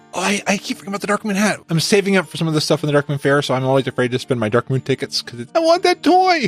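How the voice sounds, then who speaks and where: Over music in the background, a man talks at a very fast pace with a fairly high pitch. His intonation is lively and the sound is dry and close, without echo. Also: hardly any pauses. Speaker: podcast host. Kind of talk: casual chat. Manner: repeats and fumbles words.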